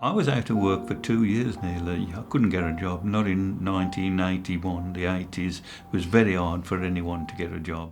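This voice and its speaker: Over noticeable background noise and audible room echo, a man with a very deep, low pitch talks with fairly even intonation and hardly any pauses. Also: moderate pace. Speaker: retired factory worker. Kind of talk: interview testimony. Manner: halting.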